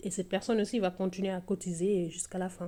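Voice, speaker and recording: Speaking at a moderate pace with a Senegalese accent, a woman uses a medium pitch and a dark, mellow tone. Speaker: budgeting vlogger, single mother. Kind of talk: casual vlog tutorial. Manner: hesitant, many fillers.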